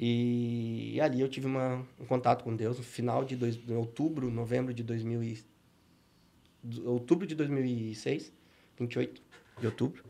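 A man talks at a fairly slow pace in a dark, mellow tone, his medium-pitched voice flat and monotone, with long, frequent pauses. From southern Brazil (Paraná, born Rio Grande do Sul). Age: 30s. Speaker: businessman and church speaker. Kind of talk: podcast interview with faith testimony.

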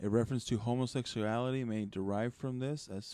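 A man's dark, mellow tone with fairly even intonation at a fairly quick pace. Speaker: podcast host. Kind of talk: casual chat.

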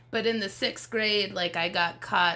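A fairly slow, fairly even delivery with an American accent and an unremarkable speaking voice. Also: woman. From Las Vegas, Nevada, US. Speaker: stand-up comedian. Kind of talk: casual chat.

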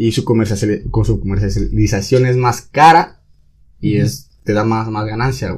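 Speaking at a very slow pace, a man's fairly low, somewhat breathy voice shows ordinary pitch variation. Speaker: teacher in training. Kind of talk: casual chat.

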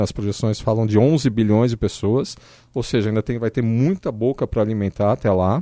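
A man's medium-pitched voice, dark and mellow in tone, at a fairly quick pace with fairly even intonation and a dry, close sound with no echo. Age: 50s. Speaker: economist, radio panel guest. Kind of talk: radio panel discussion.

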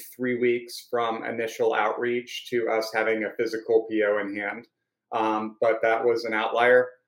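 In an American accent, a man speaks at a medium pitch and a fairly slow pace with monotone, flat intonation. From North Carolina (Raleigh). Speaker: sales engineer. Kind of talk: casual chat.

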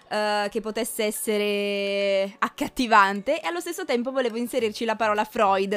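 An ordinary speaking voice from a woman, fairly high in pitch, with ordinary pitch variation, a moderate pace and hardly any pauses. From Piedmont, Italy (Cuneo). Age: 20s. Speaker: podcast host, psychology student. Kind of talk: casual monologue. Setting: home recording.

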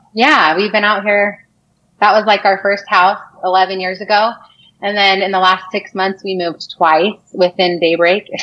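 A woman at medium pitch, moderate pace and fairly even intonation, with a normal speaking voice. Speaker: interview guest, former high school classmate of the hosts. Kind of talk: casual chat.

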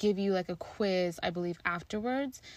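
Recorded very cleanly against a silent background, a woman speaks at a medium pitch with ordinary pitch variation. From Kenya, moved to US at seven. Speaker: podcast host. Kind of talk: casual solo monologue.

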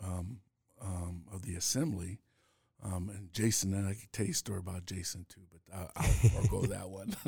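A man with a fairly low pitch speaks at a moderate pace in a dark, mellow tone that is somewhat breathy, with ordinary pitch variation. The recording is very clean, with a silent background. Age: 60s. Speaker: former state senator. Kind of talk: interview. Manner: halting.

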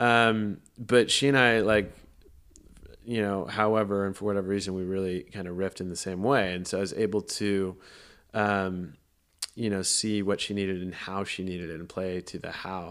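A man with a Californian accent, fairly low in pitch, at a moderate pace with fairly even intonation, on a very clean recording with a silent background. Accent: Californian American. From Southern California. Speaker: film producer. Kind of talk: casual interview.

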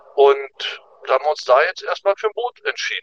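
A man speaks at a moderate pace, his voice dry and close with no echo. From Germany. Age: 50s. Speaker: emigrant. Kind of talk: casual chat.

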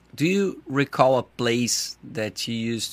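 A man with a Brazilian accent at a medium pitch and a very slow pace, in a dry, close sound with no echo on a very clean recording with a silent background. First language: Portuguese. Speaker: podcast host. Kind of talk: podcast intro and sponsor reads. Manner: halting English.

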